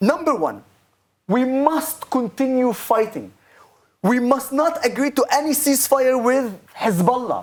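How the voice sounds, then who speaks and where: A man's extremely high-pitched voice with an Arabic accent, at a fairly slow pace, with long, frequent pauses. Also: ordinary pitch variation. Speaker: political advocate, army veteran. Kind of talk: talk show interview.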